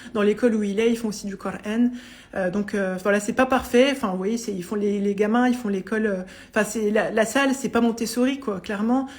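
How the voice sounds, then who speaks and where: A somewhat breathy woman's voice, fairly high-pitched, at a fairly quick pace with fairly even intonation. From France, Vosges. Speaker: psychologist and coach. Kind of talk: live stream Q&A testimony. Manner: fast; hesitant, many fillers.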